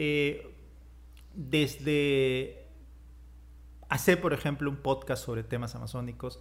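The man speaks at a very slow pace. Long pauses come often. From Peruvian Amazon, Iquitos. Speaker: writer and filmmaker. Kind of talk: interview. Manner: halting with many repetitions.

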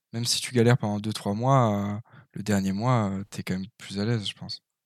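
At a moderate pace and medium pitch, a man with a plain, everyday voice speaks in a very clean recording with a silent background. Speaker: podcast host. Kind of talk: casual chat.

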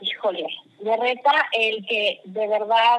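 A woman speaks with a fairly high pitch. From Mexico. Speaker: marketing executive. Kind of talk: interview. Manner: animated.

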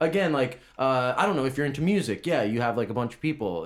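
In an ordinary speaking voice, a man talks at medium pitch and a fairly quick pace. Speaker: podcast host. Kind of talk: casual chat. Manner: casual, swears.

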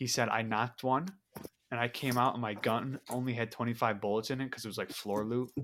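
This man talks at a fairly quick pace in a normal speaking voice, his pitch in the medium range. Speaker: podcast co-host. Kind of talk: casual interview chat.

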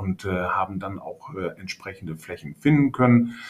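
A man speaks in a plain, everyday voice. His pitch variation is ordinary. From Münsterland, northwestern Germany (Hörstel). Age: 50s. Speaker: agricultural real estate agent. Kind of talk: casual interview.

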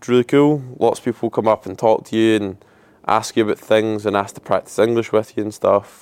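With fairly even intonation, a man talks at a fairly quick pace in a dry, close recording with no echo. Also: medium pitch for a man. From Scotland. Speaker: podcaster and traveller. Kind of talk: casual monologue. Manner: rambling, informal.

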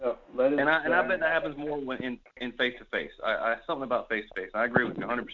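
Speaking very fast over noticeable background noise, a man uses a fairly high voice with ordinary pitch variation. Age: 40s. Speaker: participant. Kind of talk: group discussion. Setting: conference call.

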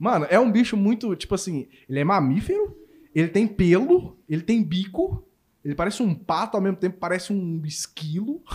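With a Belo Horizonte accent, a man speaks at a high pitch and moderate pace, with ordinary pitch variation. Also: very clean recording, silent background. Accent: Belo Horizonte (mineiro). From Minas Gerais, Brazil. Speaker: YouTuber interviewer. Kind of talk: casual chat. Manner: animated.

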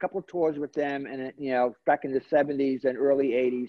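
This man has a New York accent and a fairly high pitch. He talks at a moderate pace with fairly even intonation. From Brooklyn, New York. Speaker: celebrity hairstylist and salon owner. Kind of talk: interview.

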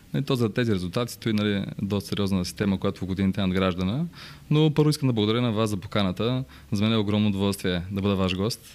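Very fast and at very even loudness, a man speaks at a fairly low pitch with ordinary pitch variation. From Bulgaria, Bansko. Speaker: real estate broker. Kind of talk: interview storytelling.

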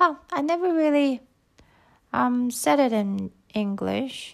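This woman speaks with a Japanese accent. Her pace is very slow and her intonation lively. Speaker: podcaster. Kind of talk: casual solo talk. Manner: halting.

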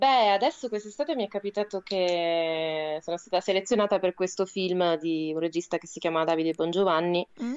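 With an ordinary speaking voice, a woman talks at a moderate pace and a medium pitch with ordinary pitch variation, in a dry, close sound with no echo. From Rome, Italy. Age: 30s. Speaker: theatre artist and writer. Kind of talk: casual radio interview, storytelling. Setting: remote call for live web radio.

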